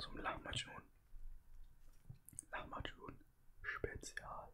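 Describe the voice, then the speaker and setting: A man is speaking. He whispers throughout. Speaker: ASMR and gaming streamer. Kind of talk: casual ASMR food eating talk.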